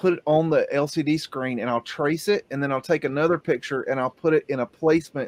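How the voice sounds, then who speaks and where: It's an unremarkable speaking voice: a man with a fairly high pitch and ordinary pitch variation. He speaks at a fairly quick pace, dry and close with no echo. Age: 50s. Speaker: livestream podcast host. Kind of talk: casual chat.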